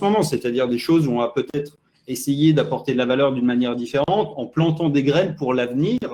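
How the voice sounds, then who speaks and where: This man has a dark, mellow tone and a fairly high pitch. His intonation is lively. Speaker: marketing consultant. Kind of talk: interview.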